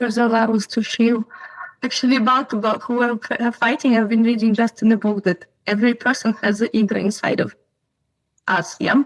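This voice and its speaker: Delivery is fairly quick, with fairly even intonation and very even loudness. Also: woman, fairly high pitch for a woman. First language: not English. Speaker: podcast guest. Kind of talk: casual chat. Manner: halting.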